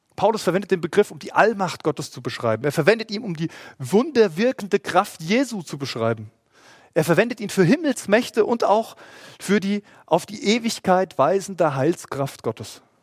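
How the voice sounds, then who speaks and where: Recorded dry and close with no echo, a man speaks at a high pitch and a moderate pace. His pitch swings very widely and his loudness swings a lot. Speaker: pastor. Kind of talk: sermon; livestream church service, sermon to an online congregation. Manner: earnest, pleading, preacherly; measured, emphatic delivery with stressed key words.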